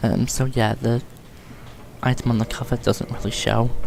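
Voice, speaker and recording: A man is mumbling. He speaks at a fairly slow pace. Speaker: gaming youtuber. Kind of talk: gameplay commentary tutorial. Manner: hesitant, many ums.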